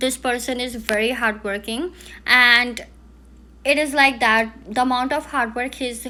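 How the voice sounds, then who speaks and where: A woman with an Indian accent, a fairly high pitch, a bright, sharp tone, fairly even intonation, and a fairly slow pace. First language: Hindi. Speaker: palm reader. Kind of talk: palm reading analysis. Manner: halting.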